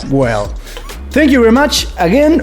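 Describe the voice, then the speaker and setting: A man speaks over noticeable background noise. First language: Spanish. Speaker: YouTube interviewer. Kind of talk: interview.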